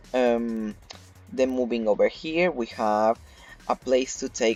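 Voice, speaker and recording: A man at a medium pitch with ordinary pitch variation, music in the background. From Argentina. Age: 20s. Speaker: video game YouTuber. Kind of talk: casual gameplay tour narration. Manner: casual, many fillers (um, like).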